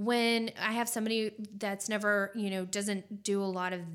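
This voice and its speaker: Speaking in a normal speaking voice with an American accent, a woman keeps a medium pitch, ordinary pitch variation, and a moderate pace. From California. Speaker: acupuncturist. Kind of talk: casual chat.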